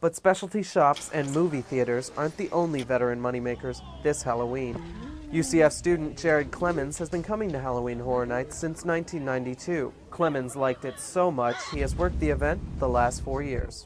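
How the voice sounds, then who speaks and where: The man's fairly quick speech competes with noticeable background noise. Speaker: broadcast news reporter. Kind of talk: TV news report narration.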